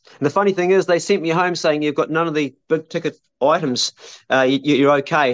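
With a New Zealand accent, a man talks at a very fast pace, his sound dry and close with no echo against a quiet background. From New Zealand, South Island. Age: 50s. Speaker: survivalist YouTuber and homesteader. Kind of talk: casual chat. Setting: outdoors, remote call. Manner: halting.

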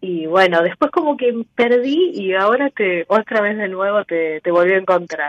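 With an ordinary speaking voice, a woman of medium pitch talks using lively intonation. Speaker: caller. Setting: phone call.

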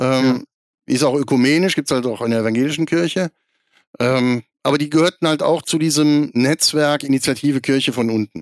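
A man talks at a fairly quick pace in a fairly high pitch with ordinary pitch variation. His loudness stays very even, and the sound is dry and close with no echo. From Lower Rhine, Germany (near Krefeld). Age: 40s. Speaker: church synod member and magazine editor. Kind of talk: podcast interview. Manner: frequent filler hesitations.

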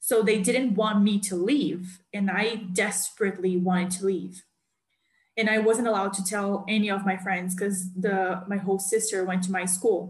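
Somewhat breathy delivery in a Portuguese accent, moderate pace, monotone, flat intonation. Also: woman, medium pitch for a woman. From Brazil. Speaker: podcast host. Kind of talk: casual chat.

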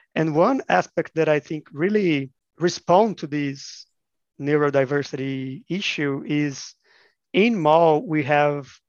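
A man with a Portuguese accent speaks at a very slow pace and a fairly high pitch. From Brazil, Minas Gerais. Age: 30s. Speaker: education researcher. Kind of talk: interview. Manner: halting, repeats words.

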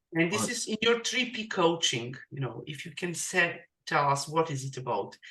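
A woman with a non-native accent and a fairly low pitch speaks at a moderate pace, her pitch swinging very widely and her loudness rising and falling sharply. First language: not English. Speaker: podcast host and digital marketing coach. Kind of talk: casual interview. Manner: halting, filler-heavy.

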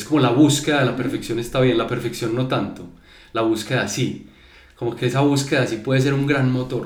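Fairly quick speech from a man with fairly even intonation, audible room echo and noticeable background noise. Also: medium pitch for a man. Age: 30s. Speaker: creative agency founder. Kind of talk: casual chat. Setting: studio.

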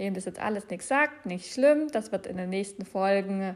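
In a very clean recording with a silent background, a woman speaks at a fairly slow pace. Her pitch is medium, with ordinary variation. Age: 20s. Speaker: personal development podcast host and trainer. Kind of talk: solo podcast monologue.

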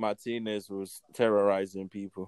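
At a moderate pace, a man with a fairly low pitch speaks in a clear, smooth, slightly mellow tone with little pitch movement.

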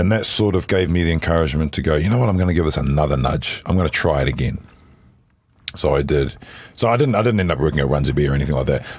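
With a New Zealand accent, a man speaks at a very fast pace in a very deep, low voice. His intonation is lively while his loudness stays very even. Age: 40s. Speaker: voice actor. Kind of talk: casual chat. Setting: outdoors.

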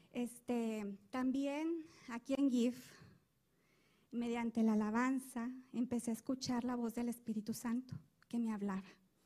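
A woman with a high pitch and a dark, mellow tone talks at a fairly slow pace with fairly even intonation and long, frequent pauses. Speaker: church member. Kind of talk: testimony.

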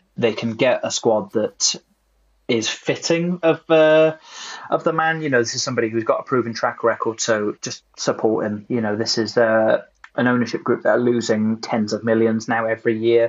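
A man at a moderate pace and medium pitch, with an ordinary speaking voice and ordinary pitch variation. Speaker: podcast host. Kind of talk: casual chat. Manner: joking, laughs a lot.

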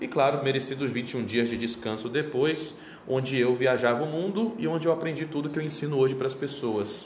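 A man at a medium pitch and fairly quick pace with ordinary pitch variation, amid audible room echo and noticeable background noise. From Brazil, Belém do Pará. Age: 30s. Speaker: travel miles and credit card specialist. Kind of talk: interview.

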